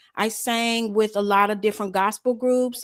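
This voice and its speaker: A woman with an American accent and an ordinary speaking voice, fairly high in pitch, fairly even in intonation, at a moderate pace, on a very clean recording with a silent background. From Chicago. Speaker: southern soul singer. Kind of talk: interview.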